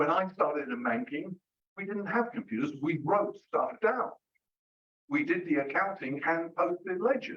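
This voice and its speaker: Speaking at a moderate pace, a man uses a high pitch with very wide pitch swings. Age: 70s. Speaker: retired banker and consultant, invited speaker. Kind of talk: public talk with audience Q&A. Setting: live lecture room, streamed on Zoom. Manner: hesitant, with frequent repetitions; conversational.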